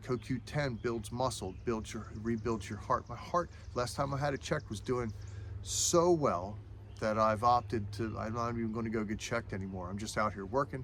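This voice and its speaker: The voice has vocal fry, ordinary pitch variation and a moderate pace. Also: man, medium pitch for a man. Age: 50s. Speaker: caterer and firewood cutter. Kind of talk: casual vlog talk. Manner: halting.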